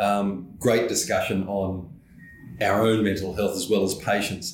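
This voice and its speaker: Audible room echo surrounds a man with an Australian accent who speaks at a moderate pace with a fairly low pitch. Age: 60s. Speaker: podcast host, professional association executive. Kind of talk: interview.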